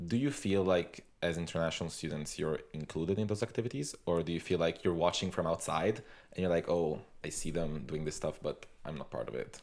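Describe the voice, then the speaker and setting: A man with a very deep, low pitch talks at a fairly quick pace with an Italian accent. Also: ordinary pitch variation. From Italy. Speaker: student podcast co-host. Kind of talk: casual chat.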